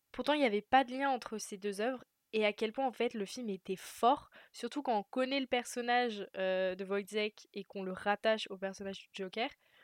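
Moderate pace from a woman, her pitch fairly high and varying in an ordinary way. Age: 20s. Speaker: film student. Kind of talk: interview. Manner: hesitant, many fillers.

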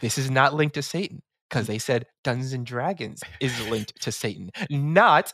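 A man at a moderate pace with an American accent, bright and sharp in tone, dry and close with no echo, on a very clean recording with a silent background. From New York City. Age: 30s. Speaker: tabletop game streamer and performer. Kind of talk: casual interview. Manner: gets loud and higher-pitched when excited.

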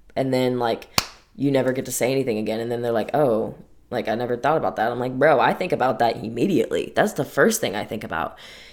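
A woman speaks at a very fast pace with a very deep, low pitch. There is noticeable background noise. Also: ordinary pitch variation. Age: 20s. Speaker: podcast host. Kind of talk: personal monologue. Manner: casual, chatty.

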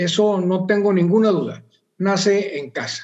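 Pitched high, the man's voice proceeds at a moderate pace. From northern Mexico, Monterrey. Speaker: sports journalist. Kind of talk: casual interview.

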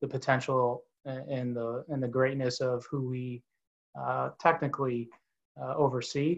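The speech moves at a moderate pace with fairly even intonation. It is an ordinary speaking voice. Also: man. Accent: American. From Orlando, Florida. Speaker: sports marketing executive and university lecturer. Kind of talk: interview.

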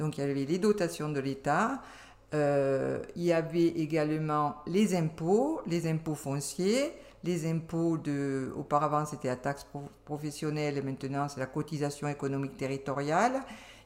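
The speech moves at a fairly slow pace. Pitch varies an ordinary amount. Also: woman, very deep, low pitch for a woman. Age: 60s. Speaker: retired civil servant. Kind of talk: casual interview.

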